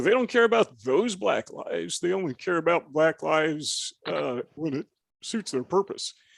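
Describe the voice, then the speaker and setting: A man's high-pitched voice at a moderate pace, dry and close with no echo, in a very clean recording with a silent background. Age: 60s. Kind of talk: casual chat.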